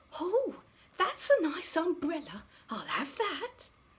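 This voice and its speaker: A woman uses a put-on character voice at an extremely high pitch. She speaks fairly slowly, with very wide pitch swings. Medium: read story. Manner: chatty, friendly.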